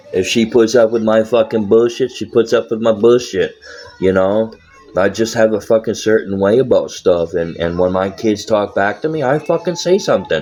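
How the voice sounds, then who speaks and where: A man with an American accent speaks at a moderate pace in a medium pitch, his tone animated and his pitch variation ordinary. Noticeable background noise runs under the recording. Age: 30s. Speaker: live streamer. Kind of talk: casual live-stream monologue. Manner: animated, heavy swearing.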